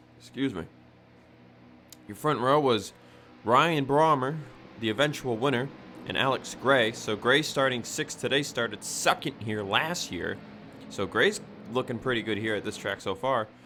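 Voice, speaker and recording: Music plays in the background as a man of medium pitch speaks. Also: ordinary pitch variation, moderate pace. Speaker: sim racing commentator. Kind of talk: live commentary. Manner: casual, occasional stumbles.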